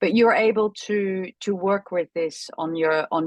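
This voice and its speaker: This is a woman speaking. Her intonation is fairly even. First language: not English. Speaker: chiropractor and mindset coach. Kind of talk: group coaching session.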